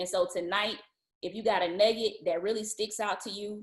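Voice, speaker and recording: A woman with a Southern US accent talks at a fairly quick pace. Her intonation stays fairly even. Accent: Southern, country. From Atlanta, US South. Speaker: event speaker. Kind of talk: virtual event announcement.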